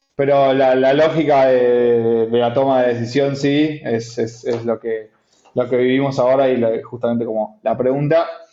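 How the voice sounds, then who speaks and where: A man with an Argentine accent talks in a monotone, flat intonation. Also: medium pitch for a man, moderate pace. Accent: Argentine Spanish (Rioplatense). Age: 30s. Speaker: entrepreneur, company CEO. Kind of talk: interview. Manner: halting, many repetitions.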